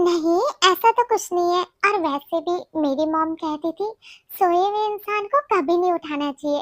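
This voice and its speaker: In a put-on character voice, a woman speaks at a moderate pace with an extremely high, squeaky pitch, the sound dry and close with no echo. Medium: audio drama.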